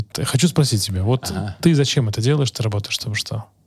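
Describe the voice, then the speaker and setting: Talking at a very fast pace, a man uses a medium pitch and lively intonation, his voice somewhat breathy. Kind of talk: casual interview chat. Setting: video podcast.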